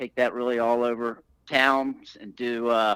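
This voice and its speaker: A man with a Southern US accent talks in a bright, sharp tone at a medium pitch, with monotone, flat intonation. The recording is very clean and dry, close with no echo and a silent background. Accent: Southern drawl. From Alabama, US South. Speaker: breathwork and fitness coach. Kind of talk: podcast interview.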